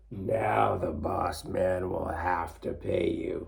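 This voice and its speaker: Putting on a raspy character voice, a man speaks at a very slow pace. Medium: read story.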